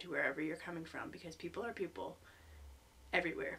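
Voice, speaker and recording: Bright and sharp in tone, a woman talks at a fairly low pitch. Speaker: English teacher in Japan, vlogger. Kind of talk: casual vlog talk to camera. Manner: hesitant, many ums.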